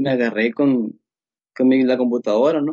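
This man's voice sits somewhat high. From Mexico, Sinaloa. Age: 20s. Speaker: computer engineer and security researcher. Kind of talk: casual interview. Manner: halting, many fillers.

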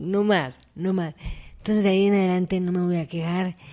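A woman speaks with a dark, mellow tone at medium pitch. Her intonation is fairly even, and the background is quiet. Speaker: accident survivor and motivational speaker. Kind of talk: interview testimony. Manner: halting.

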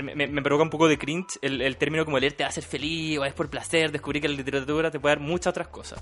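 Monotone and flat, a man rushes at a very fast pace with hardly any pauses. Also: fairly high pitch for a man. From Chile, Quillota. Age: 20s. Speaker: bookseller and podcaster. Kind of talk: casual chat.

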